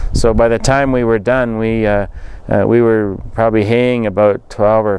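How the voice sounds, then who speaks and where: A man with a western Canadian accent speaks in a monotone with flat intonation. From rural central Alberta, Canada. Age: 50s. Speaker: political candidate. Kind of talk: interview. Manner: halting, many fillers.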